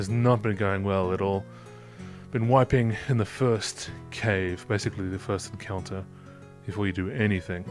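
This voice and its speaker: A man with a fairly low voice and ordinary pitch variation speaks over music in the background. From Australia. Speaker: tabletop game player. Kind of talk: casual let's-play conversation.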